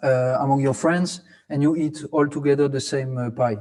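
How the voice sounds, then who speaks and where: A man with a French accent, dark and mellow in tone, at a moderate pace. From France, Alsace (Strasbourg). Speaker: academic conference co-organizer. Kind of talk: presentation (virtual city tour). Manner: halting, many fillers and repetitions.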